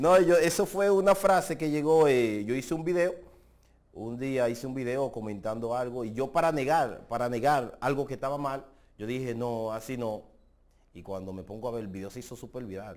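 At a moderate pace, the speaker uses lively intonation with big swings in loudness. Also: man. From Dominican Republic. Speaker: social media personality; social media creator. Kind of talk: interview. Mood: relaxed, amused storytelling. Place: studio. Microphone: lapel.

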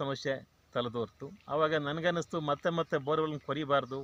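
A bright, sharp tone with fairly even intonation, dry, close sound with no echo and a quiet background. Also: man. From Karnataka, Mandya district (K R Pete). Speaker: retired government officer and farmer. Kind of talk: testimonial interview.

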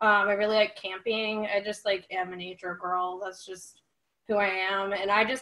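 At a moderate pace, a woman speaks at medium pitch with a bright, sharp tone. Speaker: photographer. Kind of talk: casual chat. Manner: nervous, shaky-sounding speech; halting with many fillers.

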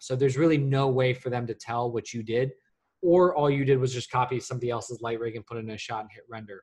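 Over a quiet background, a man talks at a very fast pace. His voice is somewhat breathy, his intonation fairly even. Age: 30s. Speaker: senior lighting artist. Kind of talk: live Q&A session. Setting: live stream on video call. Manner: halting with many fillers. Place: home room. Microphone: webcam.

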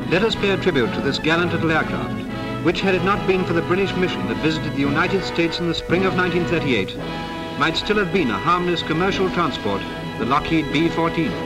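Over clear music in the background, a man talks at a very fast pace. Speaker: newsreel narrator. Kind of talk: wartime newsreel narration. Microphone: old recording.

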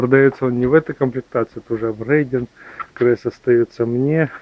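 A man speaks. The sound is dry, with no echo. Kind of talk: casual vlog chat. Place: workshop. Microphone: phone near.

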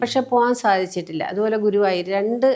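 This woman has a dark, mellow tone and a fairly high pitch. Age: 60s. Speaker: spiritual healer. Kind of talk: interview.

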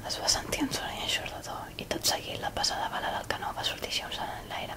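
Someone whispers at a fairly quick pace. Noticeable background noise sits behind the voice. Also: woman. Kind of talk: fairy tale reading.

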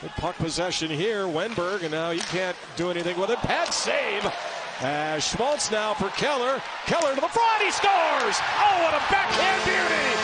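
With noticeable background noise, a man speaks at a moderate pace in a high pitch with very wide pitch swings. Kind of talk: live sports commentary. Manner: loud, punchy, exclamatory calls.

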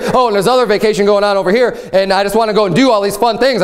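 A man speaks at a very fast pace in a high pitch. His tone is animated. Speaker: pastor. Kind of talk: sermon. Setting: church. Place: church.

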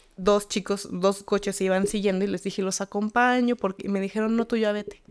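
The speech moves at a fairly quick pace with fairly even intonation over a quiet background. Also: woman. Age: 30s. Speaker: tarot reader and spiritual healer; tarot reader. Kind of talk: casual interview chat. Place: studio. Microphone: studio mic.

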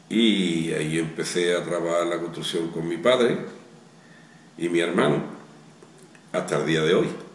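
A man with a very deep, low voice speaks at a fairly slow pace in fairly even tones, leaving long, frequent pauses, with audible room echo. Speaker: retired construction businessman. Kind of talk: interview. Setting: outdoors. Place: home room. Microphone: camera far.

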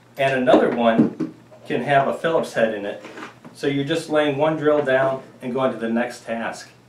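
Light background noise and audible room echo surround a man speaking at a moderate pace with ordinary pitch variation. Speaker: woodworking homesteading channel host. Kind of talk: tutorial. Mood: relaxed, friendly. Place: workshop.

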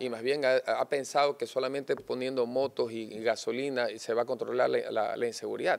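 At a fairly quick pace, a man talks with hardly any pauses. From Guayaquil, Ecuador. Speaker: mayoral candidate; candidate. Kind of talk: political interview. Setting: studio set. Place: studio. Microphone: studio mic.

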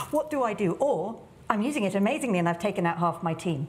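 A woman with a British accent. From England. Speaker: tech entrepreneur and business leader. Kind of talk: panel discussion. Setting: stage with audience. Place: studio. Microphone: lapel.

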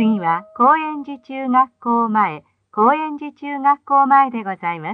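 A woman's high pitch and lively intonation at a fairly slow pace, with a dry, close sound and no echo.

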